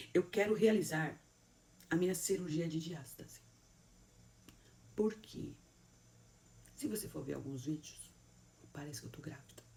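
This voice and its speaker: A woman with a very deep, low pitch and a dark, mellow tone speaks with vocal fry, ordinary pitch variation, big swings in loudness and long, frequent pauses, amid audible room echo. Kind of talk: motivational sermon talk. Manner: fast; animated.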